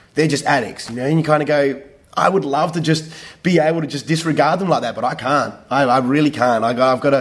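Speaking very fast, a man uses an Australian accent. His pitch is fairly high and his intonation fairly even. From Western Australia. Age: 30s. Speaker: theatre director. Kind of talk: interview. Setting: rehearsal studio. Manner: halting, many repetitions.

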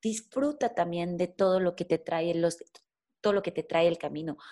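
Speaking at a fairly slow pace with long, frequent pauses, a woman with a fairly low pitch comes through in a very clean recording with a silent background. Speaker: content creator and musician. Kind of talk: interview conversation.

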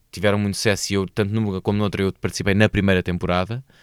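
Heard in a very clean recording with a silent background, a man speaks with a European Portuguese accent in a dry, close sound with no echo. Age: 40s. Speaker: actor. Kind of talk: casual chat.

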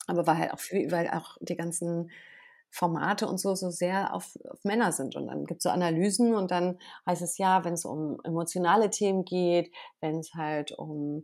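On a very clean recording with a silent background, a woman speaks with a fairly low pitch. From western Germany, Bergisches Land (Wermelskirchen). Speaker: journalist and TV presenter. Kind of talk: casual interview. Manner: hesitant, many fillers.

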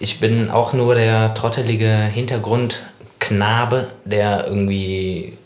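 A man's fairly low voice with fairly even intonation, plus audible room echo. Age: 30s. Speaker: podcast co-host and band musician. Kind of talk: casual chat.

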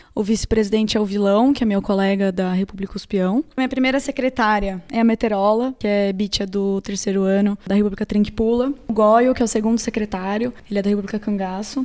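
In a very clean recording with a silent background, a woman with a dark, mellow tone speaks with hardly any pauses, very even loudness and fairly even intonation. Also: medium pitch for a woman, fairly quick pace. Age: 20s. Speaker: student association president. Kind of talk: casual interview. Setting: in-person studio interview.

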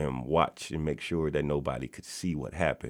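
Speaking at a moderate pace with an American accent, this voice carries noticeable vocal fry. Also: man. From US South, Mississippi. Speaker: youth mentoring founder. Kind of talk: interview.

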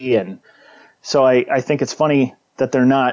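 A man speaks at a moderate pace and medium pitch in an unremarkable speaking voice. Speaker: political commentator guest. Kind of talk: casual chat. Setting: video call. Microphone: Skype call audio.

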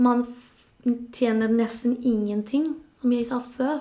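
Speaking very slowly with a Spanish accent, a woman has a high pitch and a dark, mellow tone. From Spain. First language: Spanish (speaking Norwegian). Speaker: nurse, labour migrant. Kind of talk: interview.

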